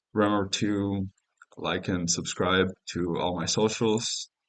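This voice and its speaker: This speaker talks with a Spanish accent and ordinary pitch variation. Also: man. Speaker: gaming streamer. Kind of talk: live stream commentary. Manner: casual, hesitant with fillers.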